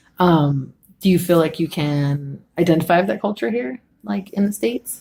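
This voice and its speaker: A woman's fairly low, somewhat breathy voice with a dark, mellow tone, lively intonation, an American accent and a moderate pace. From US, Mexican family. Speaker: student interviewer. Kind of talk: casual interview.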